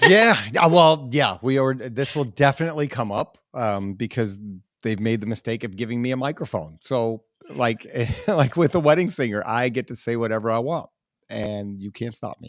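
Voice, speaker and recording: This man has a plain, everyday voice at medium pitch, talking at a moderate pace with lively intonation and big swings in loudness. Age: 40s. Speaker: podcast host. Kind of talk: casual chat.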